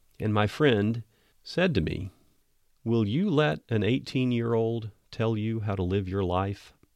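With an American accent, a man speaks at a fairly slow pace in an ordinary speaking voice, his medium pitch showing ordinary pitch variation. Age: 60s. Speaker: missionary pastor and podcast host. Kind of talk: sermon-style podcast talk. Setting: home office.

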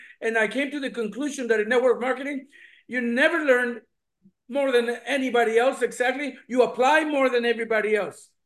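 A man speaks at an extremely high pitch. His pace is fairly quick and his intonation fairly even. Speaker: business owner, testimonial. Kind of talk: testimony.

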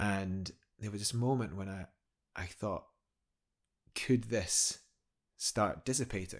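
Speaking very slowly with long, frequent pauses, a man with a Scottish accent uses fairly low pitch and ordinary pitch variation on a very clean recording with a silent background. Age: 30s. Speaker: professional climber. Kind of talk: interview conversation.

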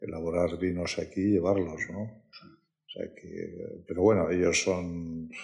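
The speaker talks at a very slow pace with hardly any pauses, the intonation monotone and flat. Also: man, very deep, low pitch for a man. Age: 60s. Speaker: wine company executive. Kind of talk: interview. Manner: halting.

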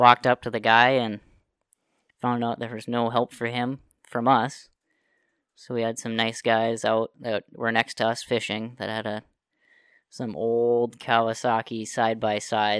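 Someone with an Upper Midwest accent speaks fairly slowly in a monotone, flat delivery with long, frequent pauses, on a very clean recording with a silent background. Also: man, medium pitch for a man, dry, close sound with no echo. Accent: Upper Midwest American. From northern Minnesota. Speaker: guest, outdoorsman. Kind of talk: casual chat.

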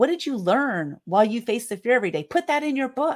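A woman with a Californian accent speaks at a very fast pace with very wide pitch swings, in a dry, close sound with no echo. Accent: General American (Californian). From US West Coast (San Diego, California). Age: 50s. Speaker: author and publisher. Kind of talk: podcast interview. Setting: video call.

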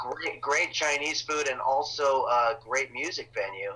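There is noticeable noise in the background. Over it, a man's voice is heard. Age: 50s. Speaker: comedian. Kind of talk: casual chat.

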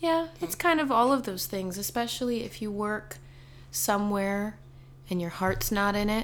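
Speaking at a moderate pace, a woman uses a normal speaking voice. Her pitch is medium and her intonation is lively. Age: 20s. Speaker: podcast host, mother. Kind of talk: casual chat.

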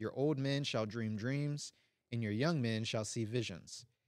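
A plain, everyday voice from a man, at a moderate pace with ordinary pitch variation. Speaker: co-host, layperson. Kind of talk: prayer and Bible reading, discussion. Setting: live in-person audience and online stream.

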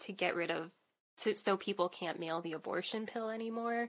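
A woman has an unremarkable speaking voice at medium pitch. Her intonation is lively. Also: very clean recording, silent background. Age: 30s. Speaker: podcast host. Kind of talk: casual chat.

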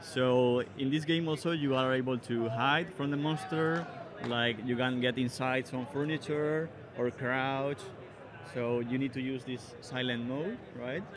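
A man with a Spanish accent speaks at a medium pitch and a fairly slow pace. His intonation stays fairly even over noticeable background noise. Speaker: indie horror game developer. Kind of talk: expo floor interview. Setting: trade show floor.

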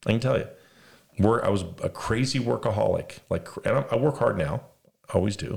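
A man with an American accent speaks at a moderate pace, leaving long, frequent pauses. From Las Vegas, US West. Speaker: podcast host. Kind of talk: casual religious discussion.

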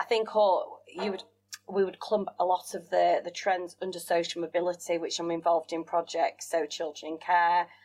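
Someone with a Yorkshire accent speaks at a moderate pace with fairly even intonation and big swings in loudness. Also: woman, fairly low pitch for a woman. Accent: Yorkshire, northern English. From West Yorkshire, England. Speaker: business owner and former TV contestant. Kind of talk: casual interview chat.

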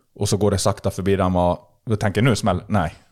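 A man speaks fairly quickly at a fairly low pitch. The recording is very clean, with a silent background. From Sweden, Borlänge (Dalarna). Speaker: fishing expert. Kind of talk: casual chat. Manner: animated.

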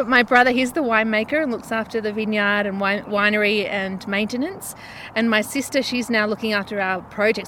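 A woman with an Australian accent talks at a fairly quick pace. Her fairly high pitch stays on a fairly even intonation. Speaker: winery owner. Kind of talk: casual interview.

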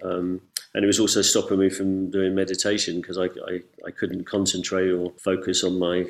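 Monotone, flat intonation from a man with an English accent, a very deep, low pitch, and a fairly quick pace. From England. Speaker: ayahuasca ceremony facilitator. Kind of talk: casual interview chat. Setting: video call.

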